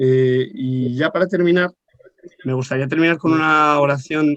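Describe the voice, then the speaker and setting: Here is a man with a plain, everyday voice. It sits fairly high in pitch, with ordinary pitch variation. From Madrid, Spain. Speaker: pilgrim volunteer. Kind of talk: round-table talk.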